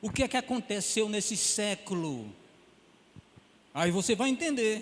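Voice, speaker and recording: Pitched high, a man's voice makes very wide swings at a fairly slow pace. Background noise is noticeable. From Pernambuco, northeast Brazil. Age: 70s. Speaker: pastor. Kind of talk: sermon.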